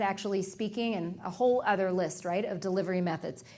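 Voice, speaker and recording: The voice has a dark, mellow tone and ordinary pitch variation at a fairly quick pace. Audible room echo surrounds it. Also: woman. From Sri Lanka. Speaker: motivational speaker. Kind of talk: talk with audience Q&A. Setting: stage with audience. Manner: animated.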